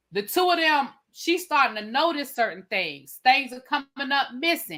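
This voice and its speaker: A woman's high, bright, sharp voice is raised and projected, animated in tone with lively intonation and big swings in loudness, moving at a moderate pace in a very clean recording with a silent background. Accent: DC. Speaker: TV review livestream host. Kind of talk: casual chat. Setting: live stream panel.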